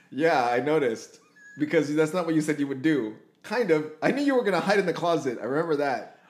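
Over noticeable background noise, a man with a fairly high voice talks at a very fast pace with lively intonation. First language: not English. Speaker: podcast host. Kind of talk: casual chat. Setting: in person, shared room.

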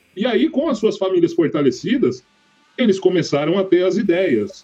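Music plays in the background as a man speaks at a moderate pace. His intonation is lively. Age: 30s. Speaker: podcast co-host. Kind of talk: casual debate.

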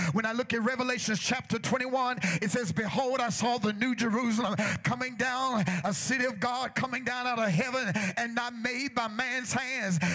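Over noticeable background noise, a man with an extremely high pitch uses a raised, projected voice and an animated tone at a moderate pace. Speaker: preacher. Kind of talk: sermon. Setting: church with congregation. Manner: animated, rousing call-and-response, urging the congregation to shout back; rhythmic, repetitive, building to a fervent crescendo.

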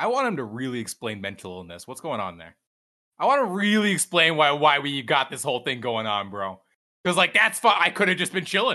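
A man with an American accent talks at a fairly quick pace in a fairly high pitch, with vocal fry and a bright, sharp tone. His pitch swings very widely and his loudness shifts a lot, over a quiet background. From US South, Georgia (near Atlanta). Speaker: streamer. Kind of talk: livestreamed interview. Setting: live stream with chat.

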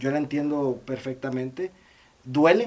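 A man is speaking. His pace is moderate. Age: 30s. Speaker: podcast co-host. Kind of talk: casual chat.

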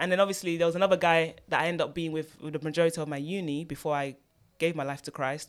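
A fairly low-pitched woman with a British accent, at a very fast pace with fairly even intonation. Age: 30s. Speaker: author. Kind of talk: personal testimony interview. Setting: studio.

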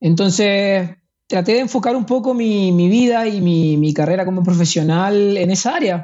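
A fairly slow pace in a Chilean accent. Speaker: ultramarathon runner. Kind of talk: interview. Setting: at home.

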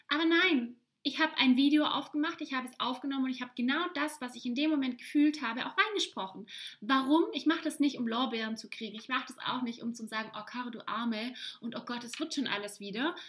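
A woman talks at a very fast pace in a high, animated voice. Her loudness swings widely. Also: ordinary pitch variation. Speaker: podcast host, life coach. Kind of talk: solo podcast monologue.

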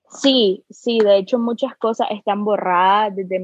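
A woman speaks at medium pitch and a very slow pace. Her intonation is monotone and flat. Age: 20s. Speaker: artist. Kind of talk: casual chat.

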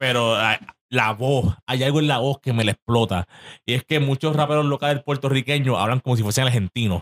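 A man's medium-pitched voice at a fairly quick pace, very even in loudness with ordinary pitch variation, in a dry, close sound with no echo. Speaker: podcast co-host. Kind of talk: casual chat. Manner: animated.

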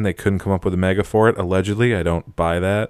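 Over a very clean recording with a silent background, a man speaks at a very fast pace in a fairly low, monotone, flat voice. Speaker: podcast co-host. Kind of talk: casual chat.

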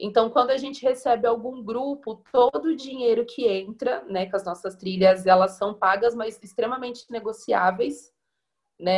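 Here is a woman with an unremarkable speaking voice. She talks at a fairly slow pace with ordinary pitch variation. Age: 20s. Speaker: community tourism educator. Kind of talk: panel discussion.

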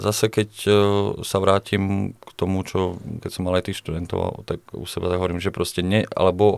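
A man with a very deep, low voice talks at a moderate pace on a very clean recording with a silent background. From Slovakia. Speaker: physiotherapist and fitness coach. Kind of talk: casual interview.

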